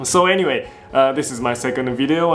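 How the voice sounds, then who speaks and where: Male speech with audible room echo and noticeable background noise. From Japan, raised partly in England and Belgium. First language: Japanese. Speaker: motorcycle vlogger. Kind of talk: casual vlog talk to camera. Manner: halting, many fillers and restarts.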